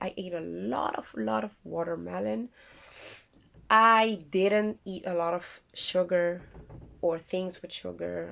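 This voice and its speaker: The background is quiet. A woman speaks with a non-native accent. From Curaçao. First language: not English. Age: 30s. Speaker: vlogger. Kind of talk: casual vlog. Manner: halting.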